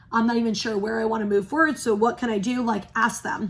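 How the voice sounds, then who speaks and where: Fairly high, somewhat breathy female voice, its pitch moving in an ordinary way. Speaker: spiritual reader. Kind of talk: casual spiritual talk to camera. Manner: fast.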